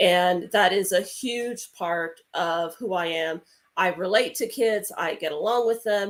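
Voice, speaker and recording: The voice belongs to a woman, pitched at a medium level. She takes a fairly slow pace. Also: ordinary pitch variation. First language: Spanish. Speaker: children's book author. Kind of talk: interview. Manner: halting, many fillers.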